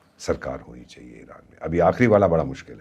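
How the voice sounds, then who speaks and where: This man speaks at a moderate pace in a very deep, low voice. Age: 70s. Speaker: former ambassador, foreign affairs commentator. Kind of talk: podcast interview.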